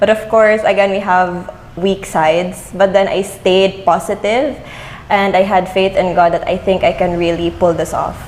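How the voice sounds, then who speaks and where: The speaker has a Visayan Filipino accent and fairly even intonation at a moderate pace. Noticeable background noise is present. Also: woman, medium pitch for a woman. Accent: Filipino (Cebuano) English. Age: young. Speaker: beauty pageant winner. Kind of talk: interview.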